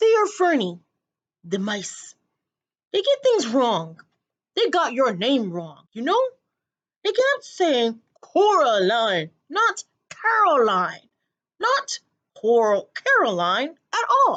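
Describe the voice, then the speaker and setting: Putting on a character voice, a woman speaks very slowly at a high pitch, with very wide pitch swings and long, frequent pauses. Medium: read story. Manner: odd, conspiratorial.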